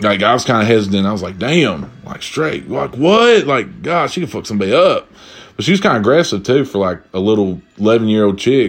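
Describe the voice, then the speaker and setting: Animated in tone, a man talks at a fairly quick pace with very wide pitch swings. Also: medium pitch for a man. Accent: Appalachian. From Eastern Kentucky. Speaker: podcast host. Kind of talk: casual solo chat. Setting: drinking while recording.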